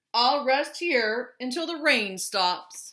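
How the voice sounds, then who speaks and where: A woman performs a put-on character voice, pitched high. She delivers it at a very slow pace. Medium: read story.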